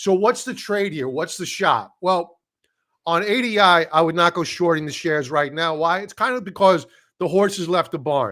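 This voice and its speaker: In a very clean recording with a silent background, a man with an American accent speaks at a moderate pace, his high voice bright and sharp in tone, with ordinary pitch variation. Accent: Brooklyn accent, suppressed. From Brooklyn, New York. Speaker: stock trading educator. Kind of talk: live stream chart analysis. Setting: live stream. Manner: casual, conversational.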